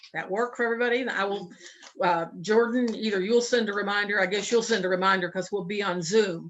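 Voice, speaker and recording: Over noticeable background noise, a woman with a medium pitch talks at a very fast pace with fairly even intonation. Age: 70s. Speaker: committee chair. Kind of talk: virtual committee meeting. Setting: video call.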